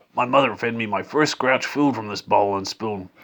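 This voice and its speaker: Using a put-on character voice, a man talks raspily at a medium pitch and moderate pace with ordinary pitch variation. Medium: read story. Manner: gruff, grumbling.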